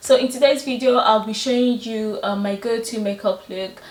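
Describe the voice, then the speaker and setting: A woman with a fairly high voice speaks at a moderate pace. Her intonation stays fairly even over noticeable background noise. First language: not English. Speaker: beauty vlogger. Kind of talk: makeup tutorial. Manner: casual, hesitant with fillers.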